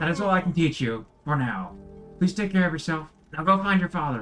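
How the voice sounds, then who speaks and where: A man puts on a strained character voice, pitched fairly high. He talks at a fairly quick pace while faint music plays in the background. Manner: strained, put-on voice.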